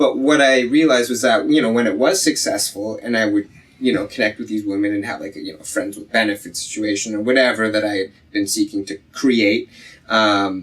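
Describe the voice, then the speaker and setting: A man with a Canadian accent uses a plain, everyday voice at medium pitch and a moderate pace, with lively intonation and big swings in loudness. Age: 30s. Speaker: podcast guest. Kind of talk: casual chat.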